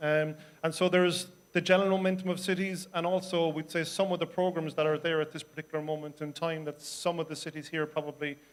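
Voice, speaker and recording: Delivered at a fairly quick pace, the speech comes with an Irish accent and a monotone, flat intonation. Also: man. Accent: soft Irish. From Ireland, Cork. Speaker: city councillor. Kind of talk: panel discussion. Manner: hesitant, many fillers.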